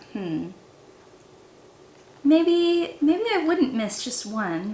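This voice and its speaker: Using a put-on character voice, a woman with a high pitch swings very widely up and down at a very slow pace, with audible echo. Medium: read story.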